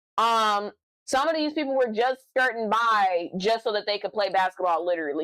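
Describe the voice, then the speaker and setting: Loud and animated, a woman's bright, sharp voice rises and falls in lively intonation at a fairly high pitch, with a dry, close sound and no echo. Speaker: streamer. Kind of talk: casual chat.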